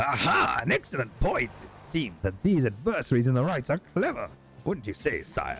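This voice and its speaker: A man's put-on character voice at a fairly high pitch. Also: moderate pace. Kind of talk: mock-heroic archaic speech. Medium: game stream. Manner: pompous, theatrical.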